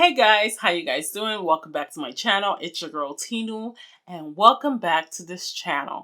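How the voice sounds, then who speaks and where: On a very clean recording with a silent background, a woman with a Nigerian accent speaks in a bright, sharp tone with big swings in loudness. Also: medium pitch for a woman, lively intonation, moderate pace. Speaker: beauty vlogger. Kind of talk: casual vlog talk to camera. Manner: chatty.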